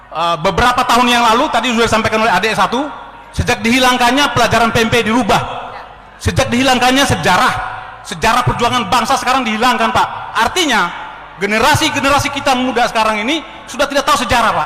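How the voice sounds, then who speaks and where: Against noticeable background noise and audible room echo, a man speaks at a very fast pace in a raised, projected voice of extremely high pitch with very even loudness. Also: ordinary pitch variation. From Ternate, North Maluku. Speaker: former army officer. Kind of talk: audience question at a public discussion. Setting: meeting hall with audience. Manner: halting, with fillers.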